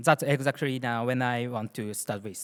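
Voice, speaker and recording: A man with a Japanese accent speaks at a moderate pace and medium pitch. The recording is very clean and dry, close with no echo, over a silent background. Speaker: security engineer. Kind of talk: conference talk. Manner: halting.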